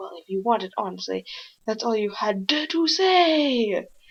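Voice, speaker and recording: Using a put-on character voice, a woman talks at a moderate pace with a fairly high pitch. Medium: read story.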